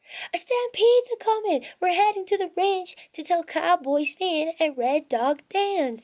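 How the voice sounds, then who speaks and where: In a put-on character voice, a woman sounds squeaky and extremely high-pitched, moving at a moderate pace with hardly any pauses. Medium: read story. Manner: excited, folksy.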